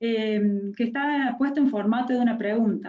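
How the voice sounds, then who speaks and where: A woman speaks in a dark, mellow tone at a fairly high pitch, with ordinary pitch variation. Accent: Córdoba. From Córdoba, Argentina. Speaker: university education speaker. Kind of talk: lecture. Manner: hesitant, many fillers.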